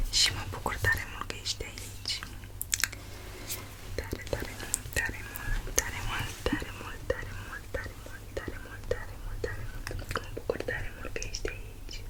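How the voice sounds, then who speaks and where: The speaker whispers at a fairly slow pace. Noticeable background noise runs behind the voice. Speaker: ASMR creator. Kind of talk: ASMR whisper to viewer. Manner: whispered.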